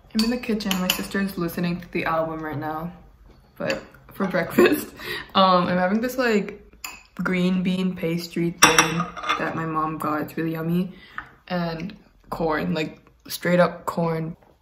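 A woman at a fairly slow pace, with long, frequent pauses and noticeable background noise. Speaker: vlogger. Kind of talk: casual vlog chat. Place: kitchen. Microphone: phone near.

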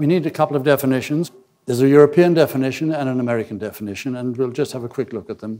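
Speaking very fast, a man delivers his words in a dark, mellow tone. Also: ordinary pitch variation, quiet background. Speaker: conference lecturer. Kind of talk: lecture. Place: hall. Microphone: podium.

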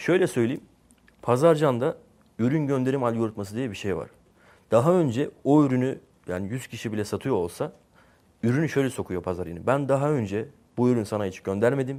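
A man speaks at a medium pitch with a dark, mellow tone and lively intonation. His pace is fairly quick despite long, frequent pauses, and the recording is very clean with a silent background. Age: 20s. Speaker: software entrepreneur. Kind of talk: interview.

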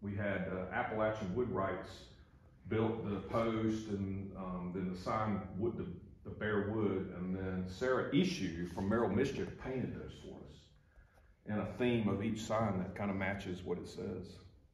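Audible room echo surrounds speech at a fairly slow pace. Light background noise is present. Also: man, fairly low pitch for a man, fairly even intonation. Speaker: tourism office staff guide. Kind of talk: guided tour explanation. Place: office. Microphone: camera far.

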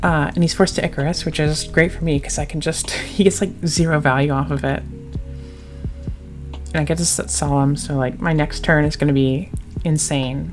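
A woman speaks at a moderate pace with hardly any pauses. Music plays in the background. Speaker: card game player and content creator; game commentator. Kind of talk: casual talk to camera, gameplay commentary.

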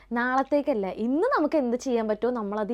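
A woman speaks with ordinary pitch variation. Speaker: vlogger. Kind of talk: casual vlog to camera. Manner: halting, occasional stumbles.

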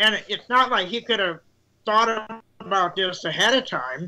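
Raising and projecting his voice, a man speaks at a fairly slow pace in a high-pitched, bright, sharp tone with ordinary pitch variation. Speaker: citizen panelist. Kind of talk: casual political discussion. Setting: video call. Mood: earnest, arguing a point. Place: home room. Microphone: video call.

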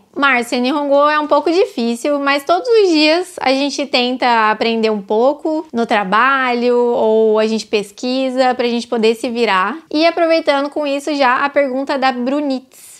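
Fairly slow speech with ordinary pitch variation and hardly any pauses over a quiet background. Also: woman, high pitch for a woman. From Brazil. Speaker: YouTuber, factory worker abroad. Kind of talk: Q&A vlog. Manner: casual. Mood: relaxed, cheerful. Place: home room. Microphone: lapel.

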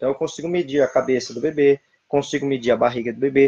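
Recorded dry with no echo against a quiet background, a man speaks with fairly even intonation. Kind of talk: lecture. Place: home room. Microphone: webcam.

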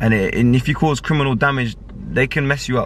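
A man's very fast, fairly evenly intoned speech, dry with no echo, over light background noise. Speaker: vlogger. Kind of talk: casual vlog chat. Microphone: phone near.

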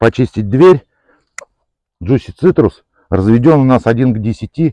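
Here a man talks at a fairly slow pace with lively intonation. The sound is dry with no echo, and the background is quiet. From Moscow Oblast, Russia. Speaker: car detailing enthusiast, product reviewer. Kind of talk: product demonstration tutorial. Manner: casual, conversational. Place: open country.

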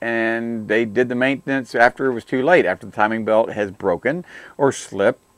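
Against a quiet background, a man's voice comes through dry and without echo. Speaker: auto technician show host. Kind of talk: commentary. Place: studio. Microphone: lapel.

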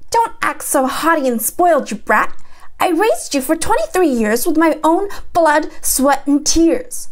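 A woman does a put-on character voice, shrill and nasal at an extremely high pitch, with a furious tone and very wide pitch swings. She goes at a fairly slow pace with very even loudness over light background noise. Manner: screeching, furious.

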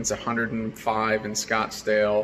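Light background noise sits behind a man's voice. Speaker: homeowner vlogger. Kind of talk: casual vlog chat. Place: garage. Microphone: phone near.

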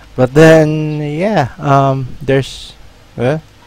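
A man talks at a very slow pace as noticeable background noise fills the recording. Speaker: gaming YouTuber. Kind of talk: gameplay commentary. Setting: solo recording at computer. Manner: halting, filler-heavy.

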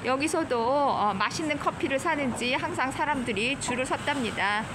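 There is noticeable background noise as a woman talks in a high pitch with lively intonation. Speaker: vlogger tour guide. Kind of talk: casual walking tour commentary. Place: street. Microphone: phone near.

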